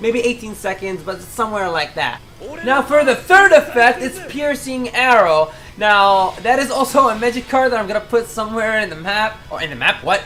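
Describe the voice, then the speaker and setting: A woman speaks at a moderate pace with a non-native accent and lively intonation. Noticeable background noise can be heard. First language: not English. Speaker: gaming YouTuber. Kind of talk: game tutorial. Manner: casual, halting with self-corrections.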